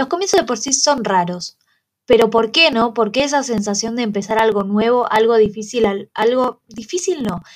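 A woman speaks at a moderate pace. Her pitch is fairly high and her intonation lively. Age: 20s. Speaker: student podcaster. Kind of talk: casual monologue.

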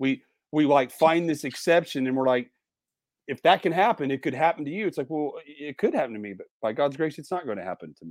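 In a very clean recording with a silent background and a dry, close sound with no echo, a man with an ordinary speaking voice talks at a fairly quick pace, his fairly high pitch carrying lively intonation and big swings in loudness. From Indiana. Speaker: pastor. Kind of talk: casual chat.

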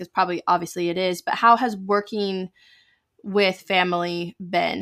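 Recorded very cleanly against a silent background, a woman with an American accent uses an ordinary speaking voice at a fairly low pitch, with fairly even intonation and a dry, close sound with no echo. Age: 30s. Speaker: podcast host. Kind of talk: interview.

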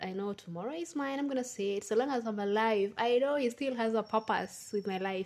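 Moderate pacing and ordinary pitch variation from a woman. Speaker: podcast host. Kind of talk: solo podcast monologue, casual chat. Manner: chatty, laughs often.

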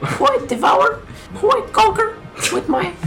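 A put-on character voice at a fairly quick pace. Background noise is clearly audible. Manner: boastful, menacing.

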